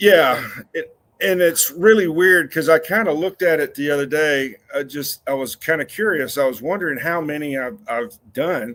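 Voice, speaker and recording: A man speaks fairly slowly with lively intonation. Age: 60s. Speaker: cemetery superintendent. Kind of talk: casual chat.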